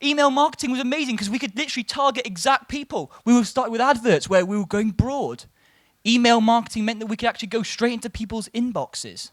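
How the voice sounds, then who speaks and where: With an English accent, a man speaks at a very fast pace in an extremely high pitch with ordinary pitch variation. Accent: sounds English rather than Welsh. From Wales. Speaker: marketing executive and conference speaker. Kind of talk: conference talk.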